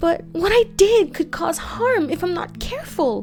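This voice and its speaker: Using a put-on character voice, a woman speaks at a moderate pace with an extremely high pitch while clear music plays in the background. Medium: read story. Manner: soothing, kind.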